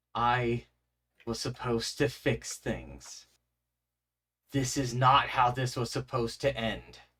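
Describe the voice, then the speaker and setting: Using a put-on character voice that is raspy and shaky, a man at medium pitch speaks at a fairly slow pace with long, frequent pauses. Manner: mournful, regretful.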